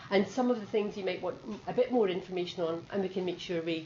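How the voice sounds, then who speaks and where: In a Scottish accent, a woman talks at a very fast pace with medium pitch and ordinary pitch variation. Noticeable background noise and audible room echo surround her voice. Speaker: nursing education director. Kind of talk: presentation. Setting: video conference.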